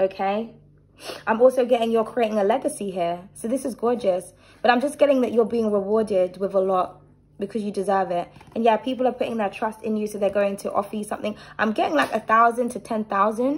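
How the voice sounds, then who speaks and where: A woman speaks at a very fast pace with a fairly high pitch and ordinary pitch variation. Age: 30s. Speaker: tarot reader and channel host; tarot reader. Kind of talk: tarot reading with personal rant. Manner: animated. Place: home room. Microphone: phone near.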